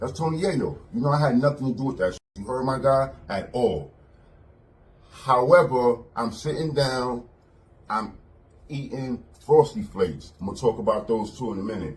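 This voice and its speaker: A somewhat breathy man in a New York accent, medium in pitch, with lively intonation and a moderate pace. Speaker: former prison inmate. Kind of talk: casual storytelling interview. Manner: animated.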